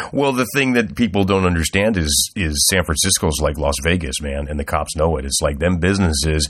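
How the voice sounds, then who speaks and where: Speaking at a moderate pace with hardly any pauses, a man uses a very deep, low pitch, vocal fry and lively intonation. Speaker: podcast host. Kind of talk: casual chat.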